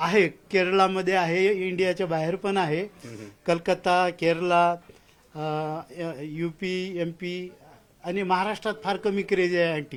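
A man speaks in a high pitch with monotone, flat intonation. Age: 50s. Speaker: antique radio collector. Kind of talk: casual interview.

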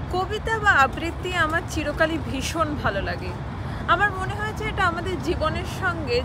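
A woman's voice, dry with no echo, under loud background noise. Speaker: poetry reciter. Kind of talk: casual talk to camera. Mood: warm, enthusiastic. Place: waterside. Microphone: phone near.

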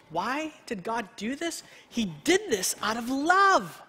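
At a slow pace, a man speaks with an extremely high pitch, a bright, sharp tone, a slightly husky edge and big pitch swings.

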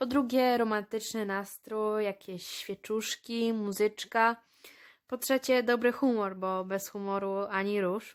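A woman speaks at a very slow pace with a fairly high pitch. Her intonation is fairly even, and the recording is very clean with a silent background. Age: 20s. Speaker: high school graduate. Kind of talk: interview.

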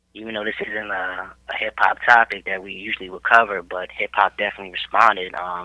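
A man speaks in a monotone, flat delivery with hardly any pauses. His loudness swings widely. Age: 20s. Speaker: podcast host. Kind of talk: casual chat. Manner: casual, slangy.

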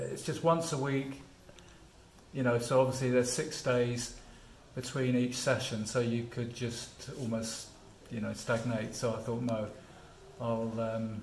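Speaking at a fairly slow pace, a man leaves long, frequent pauses and keeps fairly even intonation, with audible room echo and light background noise. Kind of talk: interview answer. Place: gym. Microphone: phone near.

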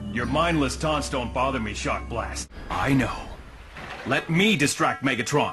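With faint music in the background, a man puts on a raspy character voice at a medium pitch and a moderate pace. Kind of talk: animation demo reel.

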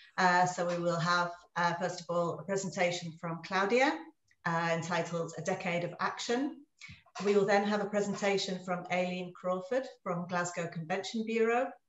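A woman talks with ordinary pitch variation. Audible room echo and light background noise surround her voice. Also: moderate pace. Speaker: webinar host. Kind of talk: webinar introduction and housekeeping. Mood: warm, cheerful. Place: home room.

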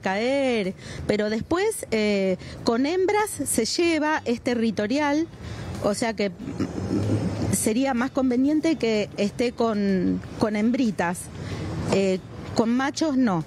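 A woman with a fairly high pitch speaks at a very slow pace, with long, frequent pauses and lively intonation. Her loudness stays very even, and light background noise is present. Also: dry sound with no echo. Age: 50s. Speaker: animal foster carer. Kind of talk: interview. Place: street.

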